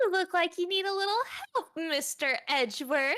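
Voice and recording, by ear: A woman's croaky, extremely high put-on character voice at a moderate pace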